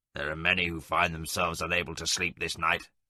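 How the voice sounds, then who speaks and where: A man puts on a raspy character voice with a very deep, low pitch. He talks at a very fast pace in a monotone, flat intonation against a quiet background. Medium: audio drama. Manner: stern, fatherly.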